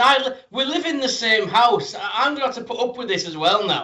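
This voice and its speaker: A man with a British accent, an extremely high pitch and a fairly quick pace. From Britain. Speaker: wrestling podcast host. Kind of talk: casual interview chat.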